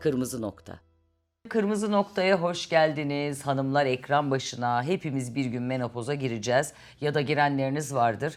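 Against a silent background in a very clean recording, a woman speaks with lively intonation. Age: 50s. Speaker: TV talk show host. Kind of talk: interview.

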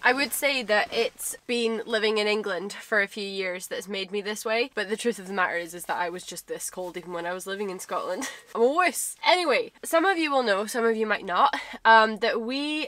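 A woman talks at a fairly quick pace with big swings in loudness, in a dry sound with no echo. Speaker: van life vlogger. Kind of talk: casual vlog chat. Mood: cheerful, chatty. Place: car. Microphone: camera far.

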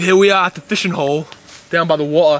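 A man's fairly high-pitched voice, high for a man, at a fairly quick pace, with fairly even intonation and a dry sound with no echo. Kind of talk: comic mock-documentary narration. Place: forest. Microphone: camera far.

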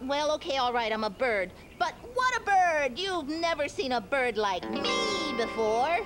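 This cartoonish character voice sounds female and is pitched high, moving at a moderate pace. Background noise is clearly audible. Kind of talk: children's puppet show comedy. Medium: puppet show. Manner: theatrical, comic, self-important.

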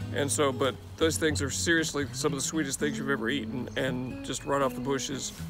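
A man talking at a fairly quick pace, dry sound with no echo, clear music in the background. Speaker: host. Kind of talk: casual garden tour talk. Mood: warm, relaxed. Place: garden.

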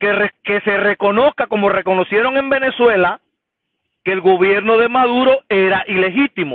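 Against a quiet background with a dry sound and no echo, a man speaks at a moderate pace and high pitch with ordinary pitch variation. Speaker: caller. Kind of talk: caller opinion. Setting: phone call. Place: car. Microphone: video call.

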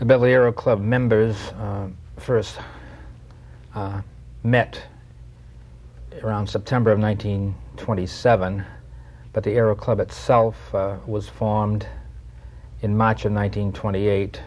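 Moderate pace, a somewhat breathy voice with ordinary pitch variation and long, frequent pauses. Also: man, fairly low pitch for a man. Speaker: guest. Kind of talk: interview answer. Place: studio.

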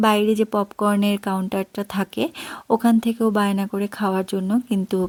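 A woman speaks at a medium pitch in a monotone, flat intonation. The recording is very clean with a silent background, and the sound is dry and close with no echo. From Tripura, Northeast India. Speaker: vlogger. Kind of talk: vlog narration. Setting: supermarket.

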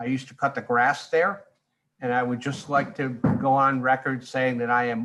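A man's bright, sharp voice with a Rhode Island accent. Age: 60s. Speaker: neighbor giving public comment. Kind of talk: public comment.

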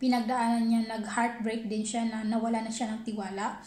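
A high-pitched woman at a moderate pace with audible room echo. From Philippines. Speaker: vlogger, housewife; vlogger. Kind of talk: casual vlog storytelling. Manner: halting, self-correcting. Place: kitchen. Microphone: phone near.

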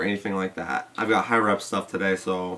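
The speaker moves at a fairly quick pace. The intonation is monotone and flat. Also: man. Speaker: fitness supplement reviewer. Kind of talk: casual vlog chat. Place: home room.

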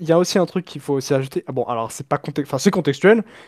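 The background stays quiet. Here, a man speaks very fast. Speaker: F1 fan on stream call; streamer. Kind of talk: casual debate. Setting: webcam microphone over voice chat. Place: home room.

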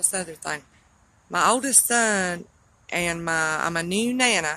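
This woman's voice sits fairly low, with a bright, sharp tone and ordinary pitch variation. She speaks at a fairly slow pace in a dry sound with no echo. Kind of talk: casual vlog chat. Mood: weary, burdened, emotional. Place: street. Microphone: phone near.

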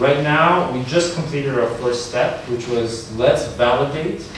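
Strong room echo and noticeable background noise surround speech delivered at a moderate pace. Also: man. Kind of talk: answer to an audience question. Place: classroom. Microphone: camera far.

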